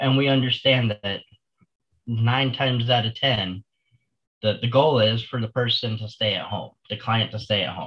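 This man has an unremarkable speaking voice at medium pitch, with fairly even intonation and a moderate pace. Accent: American. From Florida. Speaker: senior living advisor. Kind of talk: casual interview.

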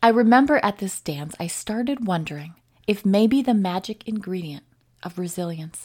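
At a moderate pace, a woman with an American accent talks with ordinary pitch variation in a very clean recording with a silent background. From US North, Wisconsin. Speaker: podcast host, recovery social worker. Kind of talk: solo podcast reflection.

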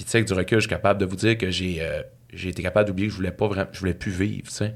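On a very clean recording with a silent background, a man talks in an unremarkable speaking voice with fairly low pitch and fairly even intonation. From Saguenay, Quebec. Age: 40s. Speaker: author and speaker. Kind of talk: casual interview, personal storytelling.

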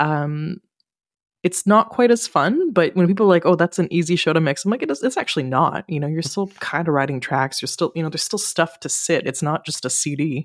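A woman with a Canadian accent uses an ordinary speaking voice, fairly low in pitch, with lively intonation at a fairly quick pace. The recording is very clean with a silent background, and the sound is dry and close with no echo. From Ottawa, Canada. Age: 30s. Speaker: live sound engineer. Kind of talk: casual chat.

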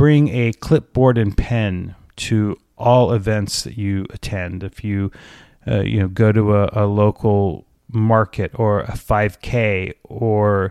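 A man's ordinary speaking voice, fairly low in pitch, in a dry, close sound with no echo. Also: quiet background. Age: 50s. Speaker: podcast host. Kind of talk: solo podcast tutorial.

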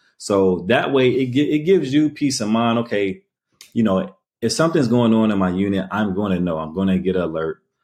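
In a plain, everyday voice, the speaker moves at a fairly quick pace with lively intonation. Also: man, fairly low pitch for a man. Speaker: business owner and arbitrage operator. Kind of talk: casual interview.

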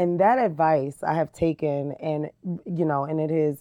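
An unremarkable speaking voice with an American accent, fairly even intonation, and a moderate pace. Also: woman. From New Jersey, Jersey City. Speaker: diversity and community engagement director. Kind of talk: interview. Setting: podcast.

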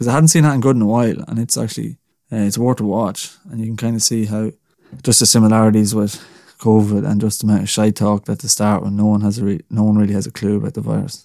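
A man's fairly low, dark and mellow voice with an Irish accent, very fast pace and fairly even intonation, on a very clean recording with a silent background. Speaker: podcast host. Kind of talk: casual solo chat. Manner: casual, chatty.

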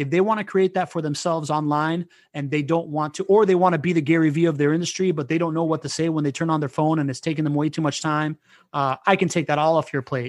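Here a man talks at a very fast pace and a fairly high pitch. The background is quiet. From Venezuela, raised in US and Spain. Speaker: content strategist and networking expert. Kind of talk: interview. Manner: animated.

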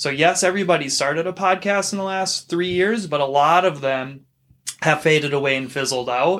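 A normal speaking voice at a fairly quick pace. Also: man, fairly high pitch for a man, ordinary pitch variation. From Minnesota. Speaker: podcast host. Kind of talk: casual chat. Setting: home studio.

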